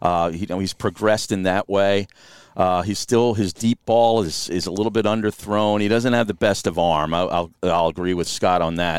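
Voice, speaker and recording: A man with an ordinary speaking voice and a fairly low pitch talks at a moderate pace. His intonation is fairly even, and the recording is very clean with a silent background. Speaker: radio host. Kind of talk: casual interview chat. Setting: in a van outdoors.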